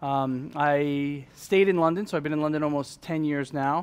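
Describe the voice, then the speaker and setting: Fairly even intonation in a fairly high male voice. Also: very clean recording, silent background. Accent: New York. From US Northeast, New York. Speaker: fintech speaker. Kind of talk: conference presentation. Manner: fast; loud.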